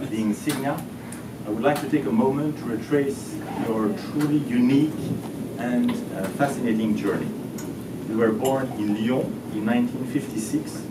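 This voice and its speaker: Through loud background noise, a man speaks with long, frequent pauses. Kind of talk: formal ceremonial speech. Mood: warm, lightly humorous. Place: hall. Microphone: camera far.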